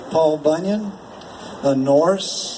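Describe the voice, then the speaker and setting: Noticeable background noise and audible room echo surround a man speaking with an American accent and ordinary pitch variation. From Appalachia, US. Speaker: storyteller. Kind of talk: storytelling performance. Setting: stage with audience. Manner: animated.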